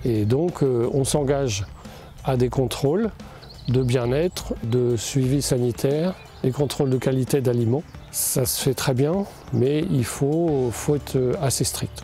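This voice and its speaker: Here a man speaks at a medium pitch. His pace is very slow, with ordinary pitch variation. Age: 60s. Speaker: poultry farmer. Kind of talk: interview testimony. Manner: hesitant, many fillers.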